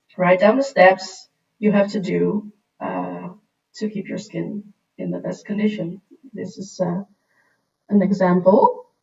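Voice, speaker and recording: Fairly slow speech in a Dutch accent, broken by long, frequent pauses, with big swings in loudness. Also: woman. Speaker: skincare and make-up presenter. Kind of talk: livestream Q&A tutorial. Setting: livestream. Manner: hesitant, many fillers.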